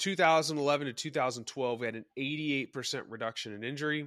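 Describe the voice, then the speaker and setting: A man with an unremarkable speaking voice talks at a fairly quick pace with ordinary pitch variation, the recording very clean and the background silent. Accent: American. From Texas, Dallas. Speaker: former strength coach. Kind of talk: casual chat.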